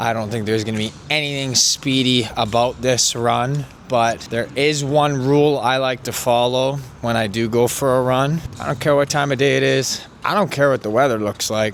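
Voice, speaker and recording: Over noticeable background noise, a man of medium pitch speaks at a moderate pace with ordinary pitch variation. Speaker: vlogger. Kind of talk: casual vlog talk. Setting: outdoors.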